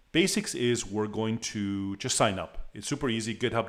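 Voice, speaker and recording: A man with a non-native accent, on a very clean recording with a silent background. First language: not English. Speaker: meetup organizer and presenter. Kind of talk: tutorial. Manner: halting, many repetitions.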